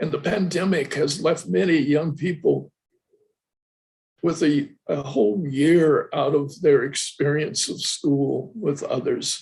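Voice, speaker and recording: Speaking at a very slow pace, a man uses a fairly high pitch with vocal fry. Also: ordinary pitch variation. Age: 80s+. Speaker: professor emeritus, Buddhist studies lecturer. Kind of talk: lecture Q&A answer. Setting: online video lecture.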